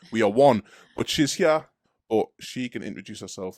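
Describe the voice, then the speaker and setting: Fairly quick and with ordinary pitch variation, a man with a Geordie accent is captured in a very clean, dry, close recording with no echo and a silent background. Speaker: street preacher and podcast host. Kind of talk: casual chat.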